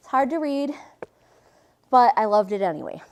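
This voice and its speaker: Her tone is animated, and this woman's pitch swings very widely. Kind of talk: inspirational talk. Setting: lecture hall with audience. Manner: fast.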